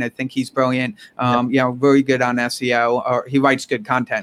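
A man's medium-pitched voice with a New York accent. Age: 40s. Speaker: entrepreneur and author. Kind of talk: casual interview.

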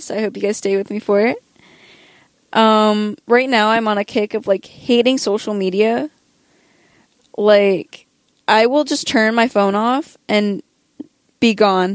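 A woman at a fairly slow pace, with long, frequent pauses, ordinary pitch variation, and a dry, close sound with no echo. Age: young. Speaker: podcast host. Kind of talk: casual monologue. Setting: home recording late at night. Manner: hesitant, many fillers.

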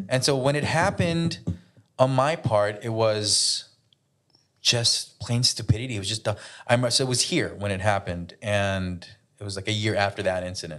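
In a quiet background, a man with a fairly low pitch speaks at a moderate pace in a plain, everyday voice, with lively intonation. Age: 30s. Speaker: podcast co-host. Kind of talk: casual chat. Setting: hotel room.

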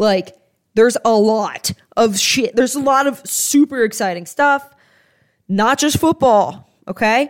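With an animated tone, a woman speaks at a fairly high pitch and a fairly slow pace, with ordinary pitch variation. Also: dry, close sound with no echo, very clean recording, silent background. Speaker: sports podcast host. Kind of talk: casual solo sports commentary.

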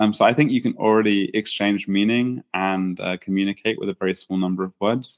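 A man talks with an English accent at a fairly quick pace. His intonation is fairly even. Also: fairly low pitch for a man, hardly any pauses. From England. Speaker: startup founder and founder coach. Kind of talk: interview. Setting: in person, same room.

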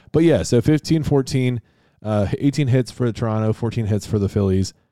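With an American accent and a dark, mellow tone, a man talks at a fairly quick pace with ordinary pitch variation. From US, Rochester area, western New York. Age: 30s. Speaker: podcast co-host, sports history. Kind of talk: casual chat, sports talk podcast.

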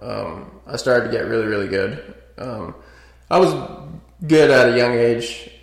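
A man speaks at a moderate pace in an American accent. Noticeable background noise runs under the recording. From US West, small town outside Las Vegas, Nevada. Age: 20s. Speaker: door-to-door salesman, former carpenter. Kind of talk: personal life story interview. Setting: studio podcast room.

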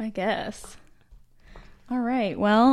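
Speaking very slowly, a woman with an American accent has a fairly high pitch. The recording is very clean, the background silent. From Utah. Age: 30s. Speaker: podcast co-host. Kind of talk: casual chat.

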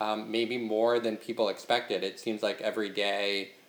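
A man's voice with a fairly low pitch. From Brooklyn. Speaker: podcast host. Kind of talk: casual chat.

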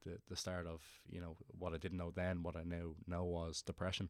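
The speaker talks fairly quickly in a Dublin accent with monotone, flat intonation. The recording is very clean, with a silent background. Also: man. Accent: Dublin Irish. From Ireland, Dublin (Portmarnock). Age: 20s. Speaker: Gaelic football player. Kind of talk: interview.

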